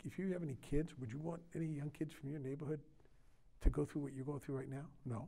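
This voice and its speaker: In an American accent, a man with a fairly high, dark, mellow, somewhat breathy voice talks at a very fast pace with fairly even intonation. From US Mid-Atlantic (Maryland). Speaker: county sheriff; guest. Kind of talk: interview conversation. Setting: studio. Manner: halting, many fillers. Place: studio.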